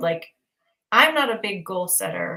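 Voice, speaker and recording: A woman's medium-pitched voice unfolds at a very slow pace. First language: not English. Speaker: spiritual teacher. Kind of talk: livestream conversation. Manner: casual, hesitant with fillers.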